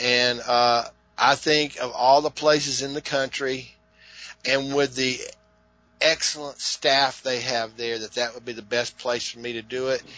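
Music plays behind a man speaking at a medium pitch. His pace is fairly slow and his intonation is flat and monotone. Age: 50s. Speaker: classic arcade video game record holder. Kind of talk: casual interview chat. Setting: remote call.

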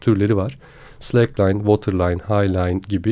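Against a quiet background, a dark, mellow voice moves at a fairly quick pace. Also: man. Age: 20s. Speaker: slackline athlete. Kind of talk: casual interview.

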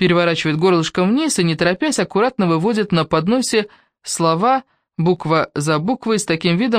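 Over a quiet background, lively intonation marks a natural reading voice.

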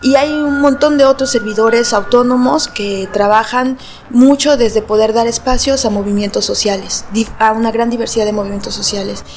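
A woman at a moderate pace, fairly high in pitch with ordinary variation, over noticeable background noise. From Mexico. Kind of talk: interview.

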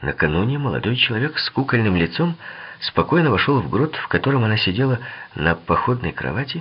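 Plain reading aloud, lively in intonation

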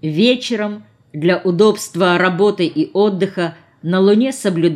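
The text is read aloud in a natural voice.

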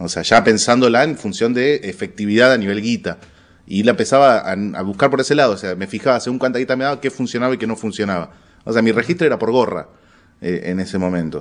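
Talking at a very fast pace, a man with a medium pitch speaks with a Rioplatense accent. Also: lively intonation, quiet background. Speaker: stand-up comedian. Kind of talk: casual interview.

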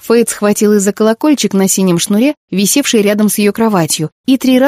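An unforced reading voice with ordinary pitch variation is heard against a quiet background.

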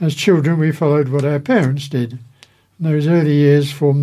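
In a fairly high pitch, a man talks with a dark, mellow tone, a somewhat breathy quality and fairly even intonation. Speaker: magazine co-host and reader. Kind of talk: magazine presenting and reading aloud.

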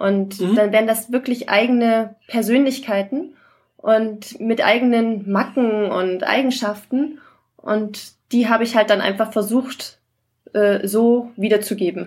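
A woman speaks at a very slow pace with a fairly high pitch. Her voice is somewhat breathy, and her intonation stays fairly even. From Saxony-Anhalt, Germany. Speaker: novelist. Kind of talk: casual chat.

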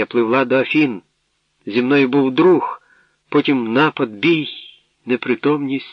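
A natural reading voice. The background is quiet.

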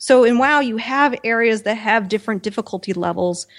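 A woman's fairly high-pitched voice with an American accent, a plain, everyday voice with ordinary pitch variation at a fairly quick pace, in a very clean recording with a silent background. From US Midwest. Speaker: podcast co-host. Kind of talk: casual chat.

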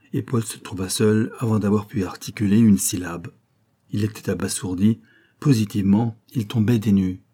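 A quiet background behind plain reading aloud in fairly even intonation

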